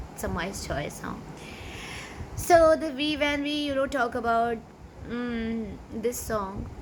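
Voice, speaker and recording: With a Pakistani accent, a woman speaks very slowly in a high voice with ordinary pitch variation and long, frequent pauses, amid audible room echo and noticeable background noise. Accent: Pakistani (Sindhi) English. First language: Sindhi. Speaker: YouTuber, amateur singer. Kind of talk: casual vlog talk. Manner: halting, many fillers.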